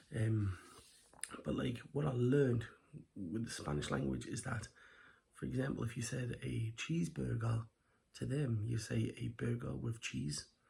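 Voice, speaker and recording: A quiet man speaks at medium pitch with a dark, mellow tone and vocal fry. His pitch swings very widely, broken by long, frequent pauses. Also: moderate pace. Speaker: food reviewer. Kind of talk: casual food review vlog. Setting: at home at night.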